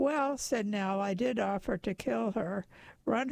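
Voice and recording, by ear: This is reading aloud in a natural voice. The intonation is lively.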